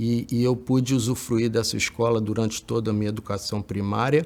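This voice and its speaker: A man speaks at a moderate pace, his medium-pitched voice showing ordinary pitch variation. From Brazil, Rio de Janeiro state. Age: 60s. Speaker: educator. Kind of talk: talk recounting personal education history. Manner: hesitant, many filler words.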